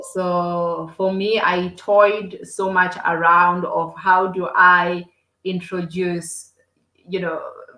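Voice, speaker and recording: In a South African accent, a woman talks at medium pitch with a bright, sharp tone and monotone, flat intonation. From South Africa, Limpopo province. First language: Xitsonga. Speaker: entrepreneur. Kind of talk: podcast interview. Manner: halting, many repetitions.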